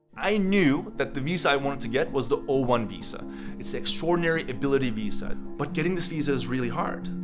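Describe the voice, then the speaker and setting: A man at a very fast pace over music in the background. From Turkey. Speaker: tech entrepreneur, company co-founder. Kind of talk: interview answer.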